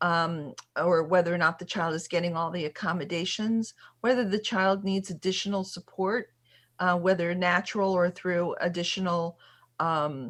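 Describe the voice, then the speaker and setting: In a very clean recording with a silent background, a woman uses a plain, everyday voice that is fairly low-pitched, speaking at a moderate pace with fairly even intonation. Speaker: special education attorney. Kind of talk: workshop Q&A.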